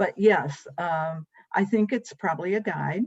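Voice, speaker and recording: A woman speaks with lively intonation. Her voice is somewhat breathy. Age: 70s. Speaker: guest sharing faith journey. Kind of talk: testimony.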